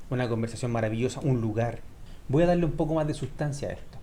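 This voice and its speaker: A man talks at a medium pitch with ordinary pitch variation, his tone dark, mellow and somewhat breathy. Audible room echo surrounds the voice. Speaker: Spanish teacher. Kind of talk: tutorial. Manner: clear pronunciation.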